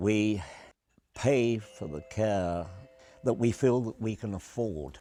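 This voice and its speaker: Speaking very slowly with an English accent, a man uses a fairly low pitch, a dark, mellow tone and lively intonation. The recording is very clean, with a silent background. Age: 80s+. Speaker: retired cab driver and carer's husband. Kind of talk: testimony.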